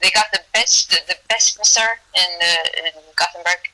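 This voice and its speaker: A woman with a Swedish accent and fairly even intonation. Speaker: amateur MMA fighter. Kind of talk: interview.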